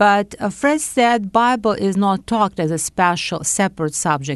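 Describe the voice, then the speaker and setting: A woman at medium pitch with lively intonation and a fairly slow pace, against a quiet background. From Soviet Union, Uzbekistan and Latvia. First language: Russian. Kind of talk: interview testimony.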